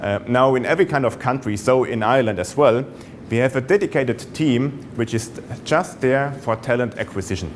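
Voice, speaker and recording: At a fairly quick pace, a man with a German accent speaks in a medium pitch, varying it in an ordinary way. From Germany. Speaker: sales executive. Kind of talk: business presentation. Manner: hesitant, many fillers.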